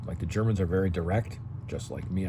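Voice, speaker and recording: Very deep, low-pitched man with ordinary pitch variation and audible room echo. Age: 60s. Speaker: senior lifestyle YouTuber and entrepreneur. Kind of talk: talking-head tutorial. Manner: casual, frequent okay fillers.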